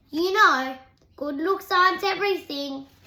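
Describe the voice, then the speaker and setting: A woman uses a put-on character voice at an extremely high pitch, raised and projected. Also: moderate pace. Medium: read story.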